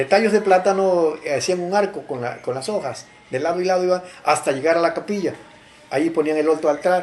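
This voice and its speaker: A high-pitched man at a fairly quick pace, ordinary pitch variation, noticeable background noise behind him. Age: 70s. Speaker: local chronicler. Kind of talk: interview. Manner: halting.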